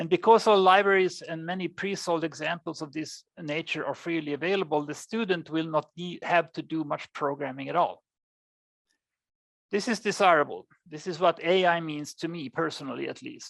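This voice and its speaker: With a Swedish accent, a woman speaks at a fairly low pitch and a moderate pace, using ordinary pitch variation and big swings in loudness, in a very clean recording with a silent background. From Sweden. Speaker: AI researcher. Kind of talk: lecture.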